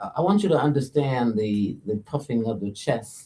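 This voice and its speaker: The man's tone is dark and mellow. He keeps to a moderate pace. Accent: American. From Chicago west side, Illinois. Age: 60s. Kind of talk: casual chat.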